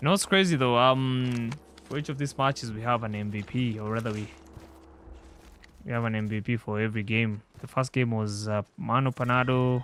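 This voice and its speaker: Medium pitch from a male speaker with a non-native accent. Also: ordinary pitch variation, fairly quick pace. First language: not English. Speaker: esports commentator. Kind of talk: live commentary.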